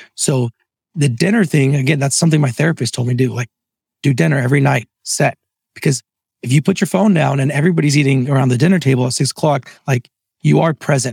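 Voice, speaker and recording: A man speaks very fast in a fairly high, somewhat breathy voice. His loudness stays very even, and the sound is dry and close with no echo. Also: ordinary pitch variation. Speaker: entrepreneur and franchise founder. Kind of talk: interview conversation.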